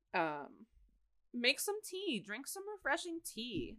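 A woman speaks in a raised, projected voice with a bright, sharp tone. Her pitch swings very widely and her pace is fairly slow. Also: dry, close sound with no echo. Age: 20s. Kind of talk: casual chat.

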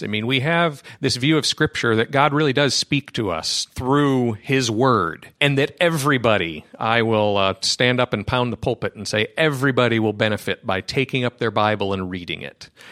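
A man with an American accent speaks at a moderate pace and a medium pitch, with a bright, sharp tone, lively intonation and hardly any pauses, on a very clean, dry, close recording with a silent background and no echo. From rural US. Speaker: philosopher, science-and-faith organization leader. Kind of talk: interview conversation.

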